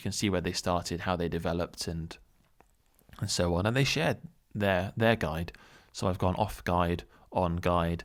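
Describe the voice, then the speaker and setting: A man's very deep, low voice at a moderate pace, with long, frequent pauses on a very clean recording with a silent background. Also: ordinary pitch variation. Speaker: small YouTuber. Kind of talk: unscripted solo monologue. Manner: speeds up as he goes; hesitant, many fillers and repeats.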